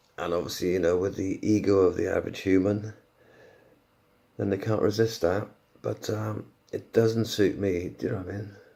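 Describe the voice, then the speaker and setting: A man speaks quietly at a moderate pace in a dark, mellow tone, his fairly low voice keeping fairly even intonation with long, frequent pauses. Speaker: podcaster. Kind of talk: casual monologue. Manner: halting.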